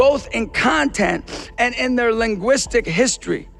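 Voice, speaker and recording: With music in the background, a man in an American accent speaks at a moderate pace in an extremely high voice with a passionate tone. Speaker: motivational speaker. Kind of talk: commencement speech to graduating nurses. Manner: earnest, encouraging, passionate.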